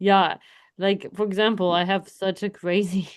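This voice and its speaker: Speech comes at a very slow pace with monotone, flat intonation. The background is quiet. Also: woman. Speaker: podcast co-host. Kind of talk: casual chat.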